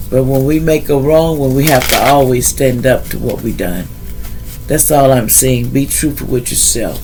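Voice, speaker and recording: Noticeable background noise and audible room echo surround a man's voice. He speaks at a moderate pace. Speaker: tarot reader. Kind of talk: tarot reading. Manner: halting.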